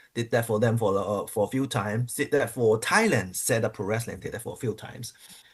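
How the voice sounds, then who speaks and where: A somewhat breathy man at medium pitch, fairly quick in pace, with fairly even intonation. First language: not English. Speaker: pro wrestler. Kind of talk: interview. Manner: halting.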